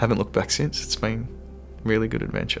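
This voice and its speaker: An enthusiastic tone comes through with music in the background. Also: man. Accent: Australian. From Australia. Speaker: voice actor. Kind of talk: interview answer. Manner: casual, enthusiastic.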